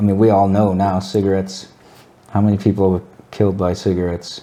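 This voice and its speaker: A man's mumbling at a fairly quick clip, very deep and low in pitch, monotone and flat. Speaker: cannabis enthusiast guest. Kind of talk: casual chat. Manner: slurred, mumbling.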